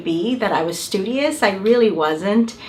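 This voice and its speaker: A woman speaks fairly slowly while noticeable background noise and audible room echo surround her. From Mexico, Mexicali, Baja California border. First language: Spanish. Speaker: university administrator. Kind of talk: welcome speech.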